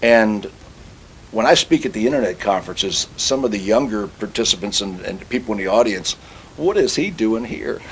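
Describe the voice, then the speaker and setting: A man talks in an unremarkable speaking voice at medium pitch. His pace is moderate and his pitch variation ordinary. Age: 60s. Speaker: automobile industry consultant and speaker. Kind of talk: interview.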